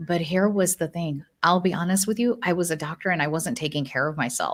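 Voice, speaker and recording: A woman with an American accent speaks at a fairly quick pace. Her pitch is fairly low, with ordinary variation. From United States. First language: not English. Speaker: neurologist. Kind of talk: podcast interview. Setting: live stream.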